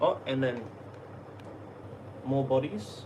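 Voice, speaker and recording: Speaking with an Australian accent, a man is heard with audible room echo and noticeable background noise. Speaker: YouTube artist and content creator. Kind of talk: casual live stream chat. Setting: live stream at home. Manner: halting, repetitive.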